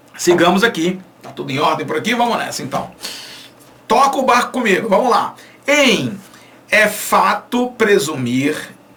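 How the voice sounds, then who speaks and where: A man uses a raised, projected voice with an animated tone and very wide pitch swings. There is audible room echo and noticeable background noise. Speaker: Portuguese language teacher. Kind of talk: online lecture.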